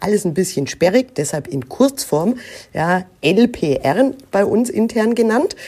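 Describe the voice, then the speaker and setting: A woman speaks very slowly with a fairly high pitch, a dark, mellow tone, vocal fry and very wide pitch swings. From Germany, Nuremberg (Franconia). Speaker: recruiting manager. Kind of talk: interview.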